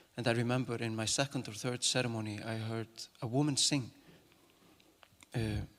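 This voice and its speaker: Pitched at a medium level, a man's voice moves at a fairly quick pace with fairly even intonation. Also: very clean recording, silent background. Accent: Icelandic. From Iceland. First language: Icelandic. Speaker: actor and singer. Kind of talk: talk to an audience. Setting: stage with audience. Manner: halting.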